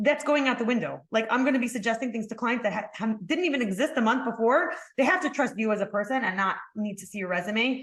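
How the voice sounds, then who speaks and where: Speaking at a very fast pace with hardly any pauses, a woman uses a fairly high pitch and ordinary pitch variation. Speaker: marketing agency founder. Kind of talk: webinar presentation. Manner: halting.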